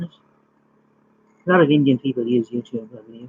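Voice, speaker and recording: A man with a strong Irish accent, medium pitch, a somewhat breathy sound and a very fast pace. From Ireland. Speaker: YouTuber live streaming facts. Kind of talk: casual live stream chat and fact reading. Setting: live stream.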